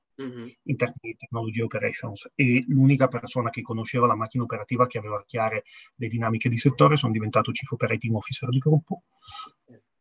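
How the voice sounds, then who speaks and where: At a very fast pace, a man talks at a medium pitch with fairly even intonation, sounding somewhat breathy. His loudness swings widely, and the sound is dry and close with no echo. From Piedmont, Italy. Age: 40s. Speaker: business executive. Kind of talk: interview.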